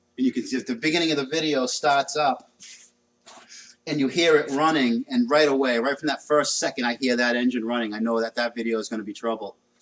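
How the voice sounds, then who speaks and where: A man speaks very fast with a New England accent. His voice sits at medium pitch with fairly even intonation. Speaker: car mechanic livestreamer. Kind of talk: casual chat while working on a car.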